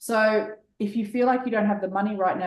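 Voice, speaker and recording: This woman has an Australian accent and a medium pitch. She talks at a very fast pace. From Australia, Sydney. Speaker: business coach. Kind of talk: interview.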